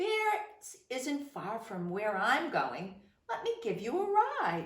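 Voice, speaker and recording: At a very slow pace, a woman puts on a high-pitched character voice with a slight echo. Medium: read story.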